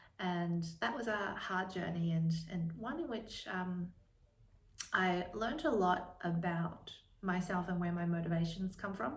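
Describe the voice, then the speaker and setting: Amid audible room echo and noticeable background noise, a woman speaks at a fairly slow pace and medium pitch with ordinary pitch variation. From China, moved to Australia at ten. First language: Chinese. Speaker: book vlogger and lawyer. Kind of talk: casual vlog talk. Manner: hesitant, many fillers.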